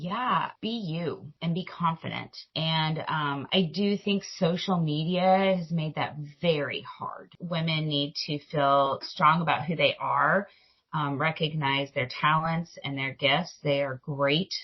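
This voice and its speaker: The speech has ordinary pitch variation and a very slow pace. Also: woman, very deep, low pitch for a woman. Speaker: grocery industry executive. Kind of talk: interview. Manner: loud.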